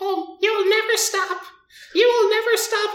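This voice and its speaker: Doing a put-on character voice, a woman speaks in a squeaky, extremely high pitch with monotone, flat intonation at a fairly slow pace, with a slight echo. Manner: taunting, gleeful.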